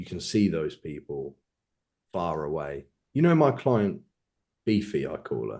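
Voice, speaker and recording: With an English accent, a man speaks in a very deep, low voice with a dark, mellow tone and vocal fry, his pitch swinging very widely and his loudness rising and falling sharply, at a fairly slow pace broken by long, frequent pauses. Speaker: bodybuilding coach. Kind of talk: podcast interview.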